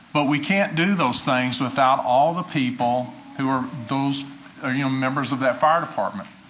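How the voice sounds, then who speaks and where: Noticeable background noise under a man with an American accent, a medium pitch, ordinary pitch variation and a moderate pace. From US South. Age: 60s. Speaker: retired fire chief. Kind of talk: acceptance speech. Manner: halting.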